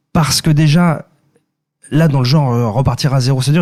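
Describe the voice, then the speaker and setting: A man speaks at a fairly slow pace with a fairly high pitch and ordinary pitch variation. His tone is dark and mellow, and somewhat breathy. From France, Ile-de-France. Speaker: singer-songwriter and comedian. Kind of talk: podcast interview. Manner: halting, many repetitions.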